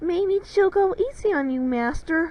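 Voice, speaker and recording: A woman squeaks out a put-on character voice at an extremely high pitch. Her pitch swings very widely. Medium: read story.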